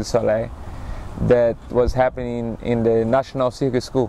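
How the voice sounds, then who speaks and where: With a Brazilian accent, a man speaks in a monotone, flat intonation. The sound is dry with no echo, with light background noise. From Recife, Brazil. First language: Portuguese. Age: 30s. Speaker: acrobat and circus performer. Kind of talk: interview, personal storytelling. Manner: halting, with fillers. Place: waterside. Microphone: lapel.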